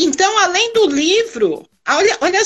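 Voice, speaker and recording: A woman at a fairly slow pace, her pitch swinging very widely. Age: 50s. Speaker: carnival percussion group member. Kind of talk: casual interview.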